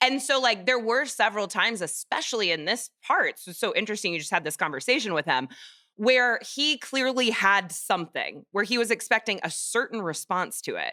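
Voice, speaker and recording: A woman in an American accent speaks at a fairly quick pace with a fairly high pitch, a bright, sharp tone and very wide pitch swings. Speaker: podcast host. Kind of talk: casual chat.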